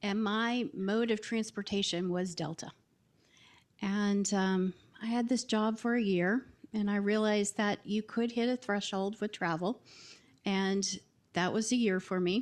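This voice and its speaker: With a slight Southern US accent, a woman of medium pitch talks at a fairly slow pace with long, frequent pauses and very even loudness against a quiet background. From US South. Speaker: marketing executive. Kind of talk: panel discussion. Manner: hesitant, many filler words.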